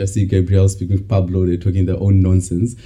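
Somewhat breathy, a man's voice comes through with a dark, mellow tone. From South Africa (Bloemfontein). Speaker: MBA student. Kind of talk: casual chat.

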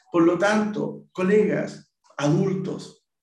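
There is audible room echo as a man talks in a high voice. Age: 40s. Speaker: teacher and podcast host. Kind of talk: solo podcast monologue.

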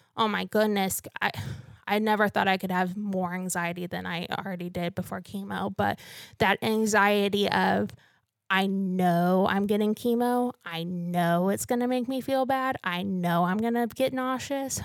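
A woman with an ordinary speaking voice speaks at a medium pitch and a moderate pace, with ordinary pitch variation. The recording is very clean, with a silent background. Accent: American. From northern Missouri. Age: 20s. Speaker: PhD student and cancer patient. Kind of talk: interview testimony.

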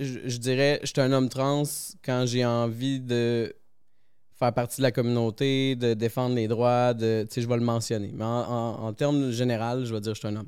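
The delivery comes at a moderate pace with monotone, flat intonation. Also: man, medium pitch for a man. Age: 30s. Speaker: electronics technician. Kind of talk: casual chat.

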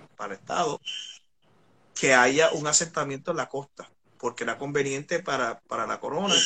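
A man at a fairly high pitch and fairly quick pace, with ordinary pitch variation and long, frequent pauses. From Puerto Rico, San Juan metro area. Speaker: historian and songwriter. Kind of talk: casual history discussion on a live stream. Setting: live online video stream.

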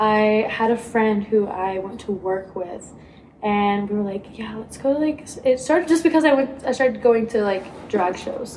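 A woman with an unremarkable speaking voice and ordinary pitch variation. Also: fairly high pitch for a woman, moderate pace. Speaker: college theater student, podcast co-host. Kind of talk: casual chat.

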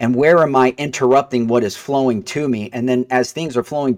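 A man talks at a fairly quick pace in a medium pitch, a plain, everyday voice. The recording is very clean with a silent background, and the sound is dry and close with no echo. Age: 40s. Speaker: mortgage broker. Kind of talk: casual chat.

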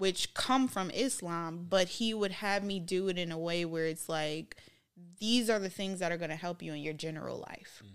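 In an unremarkable speaking voice, a woman with an American accent talks at a moderate pace with ordinary pitch variation on a very clean recording with a silent background. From Minnesota, US. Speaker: podcast guest. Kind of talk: casual interview chat.

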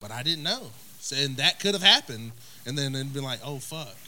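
A man in an Oklahoma accent, bright and sharp in tone, at a moderate pace with ordinary pitch variation. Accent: Oklahoma rural Southern US. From Oklahoma, US (small town Tipton). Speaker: podcast guest. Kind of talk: casual chat.

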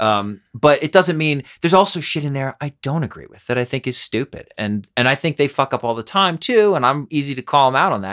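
A man with an American accent talks in a normal speaking voice, fairly high in pitch and lively in intonation, with big swings in loudness. He moves at a fairly quick pace with hardly any pauses, in a very clean recording with a silent background. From US Northeast. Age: 40s. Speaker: podcast host and musician. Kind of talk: casual chat. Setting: studio.

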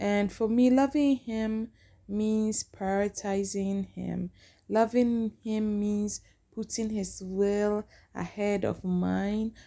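At a very slow pace, a woman speaks with monotone, flat intonation, a medium pitch and a dark, mellow tone. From Ghana. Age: 40s. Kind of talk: casual podcast intro monologue. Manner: hesitant, with filler sounds.

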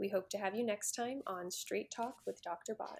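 With a normal speaking voice and ordinary pitch variation, a woman talks at a fairly quick pace. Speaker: podcast host. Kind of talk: interview.

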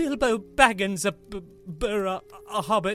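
Over background music, a female-sounding, medium-pitched put-on character voice comes out shaky. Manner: shaky, scared.

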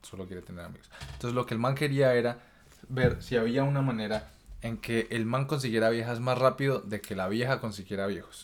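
A man speaks in a plain, everyday voice, his pitch varying an ordinary amount while his loudness swings widely. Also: medium pitch for a man, fairly quick pace. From Colombia. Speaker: podcast host. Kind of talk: casual chat.

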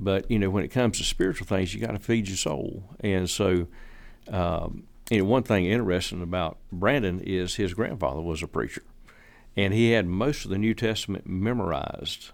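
The speech moves at a moderate pace. It carries a Southern US accent. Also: man, fairly low pitch for a man, ordinary pitch variation, very clean recording, silent background. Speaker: landscaper and church member. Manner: reflective, sincere, wandering, hesitant with fillers.

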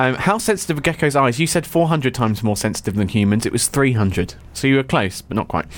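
A man with a southern English accent speaks at a fairly quick pace and medium pitch, with very wide pitch swings, very even loudness and hardly any pauses. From English south coast. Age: young. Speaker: podcast co-host. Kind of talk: casual chat. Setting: studio. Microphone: mic sound problems at the beginning.

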